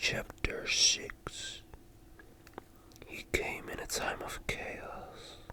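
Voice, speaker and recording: Whispering at a very slow pace, a man leaves long, frequent pauses over noticeable background noise. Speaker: ASMR creator. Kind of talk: slow ASMR book reading. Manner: slow, soft-spoken, relaxing.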